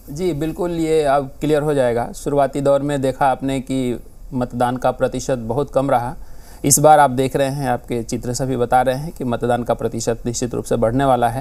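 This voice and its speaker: Speaking with a Bihar accent, this voice has a dark, mellow tone, fairly even intonation, and a moderate pace. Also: man, medium pitch for a man. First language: Maithili (speaking Hindi). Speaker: political panelist. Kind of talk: TV panel discussion. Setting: TV studio.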